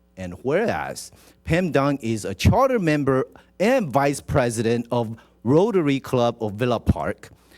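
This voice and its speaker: A man speaks at a fairly slow pace in a medium-pitched voice with very wide pitch swings. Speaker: city council member. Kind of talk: reading a proclamation at a council meeting.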